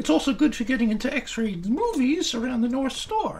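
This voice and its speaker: Over light background noise, a man uses a put-on character voice at an extremely high pitch and a moderate pace. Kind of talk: ventriloquist comedy routine, children's show.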